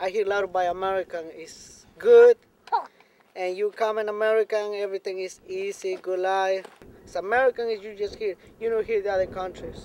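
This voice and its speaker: A man with a Mexican accent speaks at a high pitch and a fairly quick pace, with monotone, flat intonation. The sound is dry and close with no echo, though background noise is noticeable. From Mexico. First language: Spanish. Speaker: farm worker, immigrant. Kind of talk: documentary interview.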